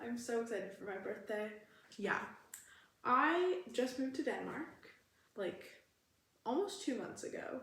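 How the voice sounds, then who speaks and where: Audible room echo carries a woman's high-pitched voice with a Canadian accent and very wide pitch swings. She talks at a fairly slow pace with long, frequent pauses. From Canada, Alberta. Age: 20s. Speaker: vlogger. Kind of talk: casual vlog Q&A.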